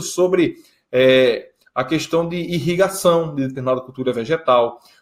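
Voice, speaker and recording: This man's voice sits fairly high in pitch. Its pitch variation is ordinary. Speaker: geoprocessing instructor. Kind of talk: conference talk Q&A. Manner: fast.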